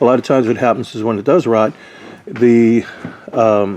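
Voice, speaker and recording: Noticeable noise sits behind a man whose intonation stays fairly level. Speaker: RV roof repair tradesman. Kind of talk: casual tutorial walkthrough. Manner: fast.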